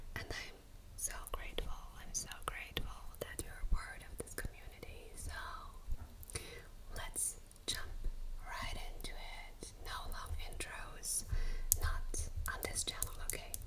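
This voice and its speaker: Whispering very slowly with a soothing tone, a woman leaves long, frequent pauses over noticeable background noise. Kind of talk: ASMR whispered chit chat. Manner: whispered, soothing.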